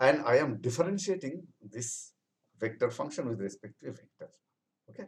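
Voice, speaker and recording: Speaking at a fairly quick pace, a man sounds somewhat breathy, with lively intonation, big swings in loudness and long, frequent pauses. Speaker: professor. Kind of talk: lecture. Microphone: webcam.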